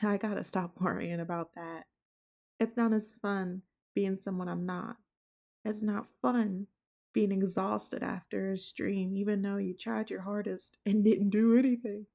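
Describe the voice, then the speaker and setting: A woman speaks at a medium pitch with a dark, mellow tone. Her intonation is fairly even. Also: fairly slow pace. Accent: Southern. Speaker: VTuber streamer. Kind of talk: casual vlog talk to viewers. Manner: laid back.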